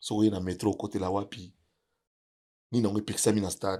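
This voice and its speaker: A man talks at a fairly quick pace, his fairly low voice dark and mellow in tone. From DR Congo, Kinshasa. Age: 60s. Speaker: music producer and provincial politician. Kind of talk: interview.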